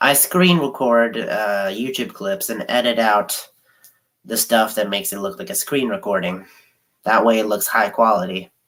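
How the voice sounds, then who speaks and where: The man's voice has a medium pitch and ordinary pitch variation, delivered at a moderate pace. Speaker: sports channel streamer. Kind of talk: casual livestream chat.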